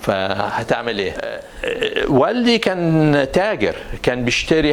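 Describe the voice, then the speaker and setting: Ordinary pitch variation from a male speaker, noticeable background noise behind him. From Egypt, Cairo. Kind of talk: interview testimony. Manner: halting, many restarts.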